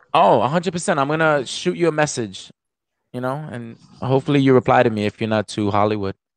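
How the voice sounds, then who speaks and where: An animated man with a New York accent, very fast in pace, medium in pitch, with lively intonation. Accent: New York (Bronx). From New York, the Bronx. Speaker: hip hop artist. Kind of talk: casual chat. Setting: video call.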